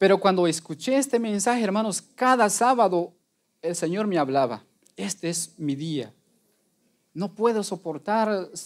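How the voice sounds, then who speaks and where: A man speaks in a high pitch with lively intonation at a fairly slow pace. His speech has long, frequent pauses, and the background is quiet. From Guatemala. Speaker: lay preacher. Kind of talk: testimony. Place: church.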